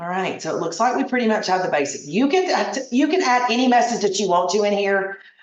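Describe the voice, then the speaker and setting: A woman's medium-pitched voice at a very fast pace with hardly any pauses and lively intonation, amid audible room echo and noticeable background noise. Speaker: travel agent trainer. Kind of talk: tutorial.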